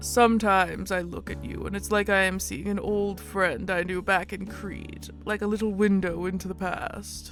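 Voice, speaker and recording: Clear music plays in the background behind a put-on character voice. The delivery moves at a moderate pace with hardly any pauses. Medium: game stream. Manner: soft-spoken, hesitant, formal.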